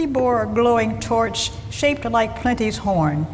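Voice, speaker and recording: Against noticeable background noise, a woman at medium pitch speaks at a very slow pace with very wide pitch swings. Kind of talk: radio play narration, storytelling.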